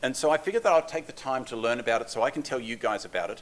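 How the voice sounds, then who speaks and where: The speaker has an Australian accent. This man rushes along at a very fast tempo. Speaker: developer advocate. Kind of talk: conference talk. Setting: stage with audience. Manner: fast when excited; casual, self-deprecating.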